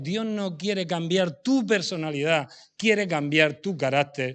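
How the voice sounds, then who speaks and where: With lively intonation, the voice comes across over a quiet background. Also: man. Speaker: preacher. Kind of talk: sermon. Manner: fast.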